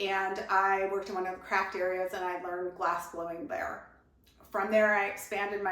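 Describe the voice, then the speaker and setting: A woman with an American accent speaks at a moderate pace, with audible room echo and noticeable background noise. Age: 50s. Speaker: vlogger, glass artist changing career. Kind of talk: casual vlog to camera. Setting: at home in a new house.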